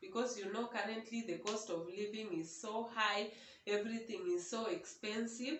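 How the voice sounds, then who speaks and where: A woman with a non-native accent and a fairly high pitch is heard with audible room echo and noticeable background noise. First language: not English (English is her third language). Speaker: vlogger. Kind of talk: casual vlog monologue. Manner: halting.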